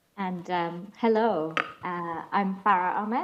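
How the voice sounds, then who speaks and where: Delivered at a very slow pace with fairly even intonation, the speech carries audible room echo. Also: woman. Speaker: climate justice lead. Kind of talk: panel discussion. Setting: video call. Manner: halting, many fillers.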